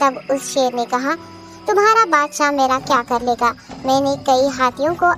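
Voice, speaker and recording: Over clear music in the background, a female-sounding cartoonish character voice speaks at a high pitch and moderate pace. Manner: deferential, wily.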